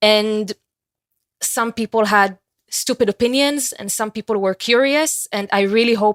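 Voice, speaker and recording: A woman talks with an Israeli accent at a medium pitch, her pitch varying in an ordinary way. The sound is dry and close, with no echo. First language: Hebrew. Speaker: university student. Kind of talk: interview.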